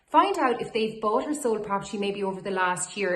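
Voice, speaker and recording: A woman's fairly quick, lively-intoned speech over noticeable background noise. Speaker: auctioneer / estate agent. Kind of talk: corporate social media advice video to camera. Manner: friendly, professional.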